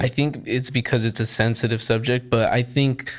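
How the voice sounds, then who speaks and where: An unremarkable speaking voice from a man with an American accent, medium in pitch, at a moderate pace with fairly even intonation. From US. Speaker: podcast host. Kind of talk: casual interview.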